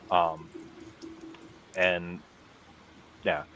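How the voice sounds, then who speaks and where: Noticeable background noise fills the recording. The man's pitch is very deep and low. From US Midwest, Madison, Wisconsin. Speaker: combat martial artist. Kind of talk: casual interview.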